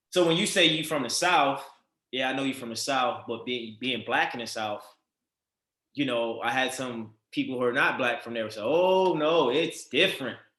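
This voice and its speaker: A man with a Baltimore accent speaks at medium pitch and a moderate pace, with ordinary pitch variation. His tone is bright and sharp, and the room echo is audible. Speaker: podcast host. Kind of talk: interview.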